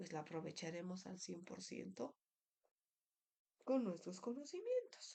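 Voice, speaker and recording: A woman's somewhat breathy, dark, mellow voice at medium pitch. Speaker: dentistry lecturer. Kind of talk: lecture. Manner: halting, many fillers.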